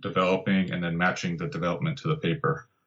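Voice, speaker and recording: A man with an American accent, fairly quick in pace, with very wide pitch swings. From Southern California (Santa Barbara). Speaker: landscape photographer and guidebook author. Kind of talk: casual interview.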